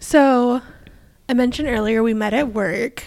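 Her high-pitched voice moves at a fairly slow pace as this woman speaks. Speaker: podcast co-host, accountant. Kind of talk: casual chat.

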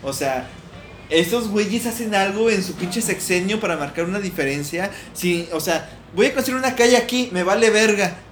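Noticeable background noise sits under this recording. A man speaks at a high pitch and moderate pace with ordinary pitch variation. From Mexico. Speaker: podcast co-host. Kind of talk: casual chat.

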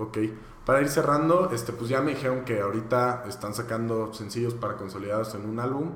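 Amid audible room echo, a man talks fairly quickly in a medium pitch with ordinary pitch variation. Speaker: podcast host. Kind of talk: casual interview.

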